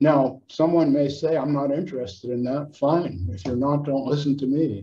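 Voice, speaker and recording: Moderate pace and ordinary pitch variation in a somewhat breathy voice. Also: man, fairly high pitch for a man. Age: 70s. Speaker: psychotherapist and author. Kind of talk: casual chat.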